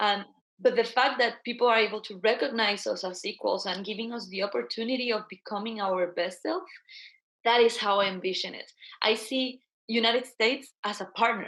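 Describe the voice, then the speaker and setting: In a Guatemalan accent, the speaker moves at a fairly quick pace, with big swings in loudness and ordinary pitch variation. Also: woman, fairly high pitch for a woman. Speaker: social entrepreneur. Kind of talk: interview.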